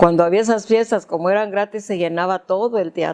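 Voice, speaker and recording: Over noticeable background noise, a woman speaks in a fairly low pitch with ordinary pitch variation. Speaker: grandmother recounting her life story. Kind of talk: interview answer recalling childhood memories. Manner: hesitant, conversational, with repeated words.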